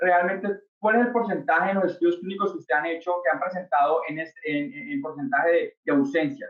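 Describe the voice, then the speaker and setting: A man with a slight Colombian accent speaks at a fairly quick pace. His pitch is high, with ordinary pitch variation. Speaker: startup founder, industrial engineer. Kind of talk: webinar presentation. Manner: hesitant, many fillers.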